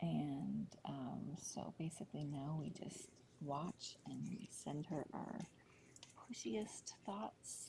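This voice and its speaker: The speaker whispers. The pace is very slow. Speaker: cat rescue livestream host. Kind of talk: live voice-over commentary. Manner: quiet, subdued; hesitant, many fillers.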